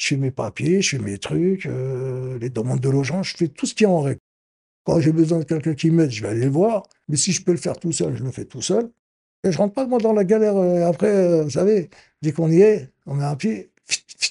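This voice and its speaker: At a fairly high pitch, a man speaks at a fairly quick pace with very wide pitch swings. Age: 60s. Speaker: amateur actor, senior supported by a charity. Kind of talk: interview testimony. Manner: animated.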